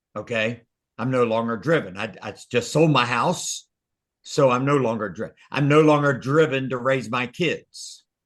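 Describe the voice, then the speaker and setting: Medium-pitched male voice with ordinary pitch variation, moderate pace, and a quiet background. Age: 60s. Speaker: real estate coach. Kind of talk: group coaching session. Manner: animated.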